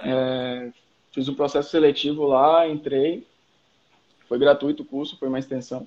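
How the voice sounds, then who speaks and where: A fairly high-pitched man talks at a fairly slow pace with fairly even intonation and long, frequent pauses. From Salvador, Bahia, Brazil. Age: 30s. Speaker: skateboarder and marketing professional. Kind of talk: casual chat.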